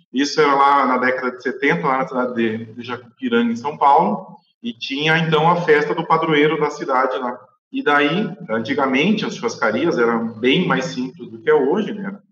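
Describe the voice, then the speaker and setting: With a normal speaking voice, a man talks at a moderate pace and a fairly high pitch, using lively intonation and big swings in loudness. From southern Brazil, Rio Grande do Sul (Guaíba). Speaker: animal scientist, livestock consultant. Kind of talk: interview.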